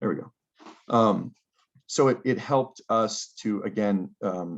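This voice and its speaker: A man talks at a fairly low pitch. His pitch variation is ordinary. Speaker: planning consultant presenting GIS projects. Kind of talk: conference presentation. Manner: halting, many fillers.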